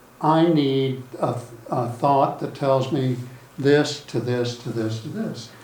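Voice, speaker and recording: Against noticeable background noise and audible room echo, a man speaks at a very slow pace with a medium pitch. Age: 60s. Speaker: golf student. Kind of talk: casual chat.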